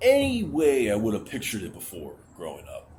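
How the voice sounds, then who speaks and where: Somewhat breathy, a man's voice has a dark, mellow tone. The room echo is audible. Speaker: vlogger. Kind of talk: personal vent vlog. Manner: halting; pitch rises when anxious.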